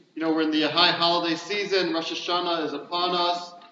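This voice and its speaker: A man talks at a high pitch while noticeable background noise runs underneath. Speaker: rabbi. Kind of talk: welcome speech to audience. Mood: warm, reflective. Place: hall. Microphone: camera far.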